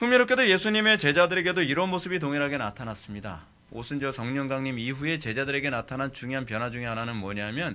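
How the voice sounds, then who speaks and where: Lively intonation and a bright, sharp tone mark a man's fairly high-pitched voice. He talks at a very fast pace with hardly any pauses. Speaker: pastor teaching theology. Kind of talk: sermon lecture.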